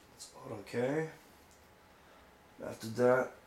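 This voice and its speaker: A man talking at a fairly slow pace, with audible room echo and noticeable background noise. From France or French-speaking region. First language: French. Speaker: RC hobbyist. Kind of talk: tutorial. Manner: casual, halting.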